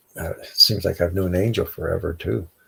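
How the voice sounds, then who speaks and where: A man speaks quietly. His pace is moderate. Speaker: livestream host. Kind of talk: casual chat. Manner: trying to speak quietly; halting.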